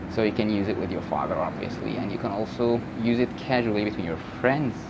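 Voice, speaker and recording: A fairly low-pitched man with an Egyptian accent, with audible room echo and noticeable background noise. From Egypt (north). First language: Egyptian Arabic. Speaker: language teacher YouTuber. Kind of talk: tutorial. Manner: casual.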